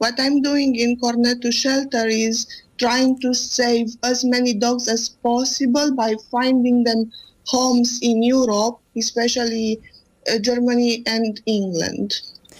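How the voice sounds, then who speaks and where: A woman with a Romanian accent speaks at a fairly slow pace in a high, monotone voice, her loudness very even throughout. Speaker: animal rescue volunteer. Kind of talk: radio interview. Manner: halting.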